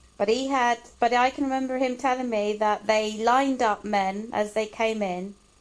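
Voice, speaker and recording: A woman with an ordinary speaking voice and a fairly high pitch talks at a moderate pace. Her intonation is fairly even and her loudness very even. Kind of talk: casual family interview questions.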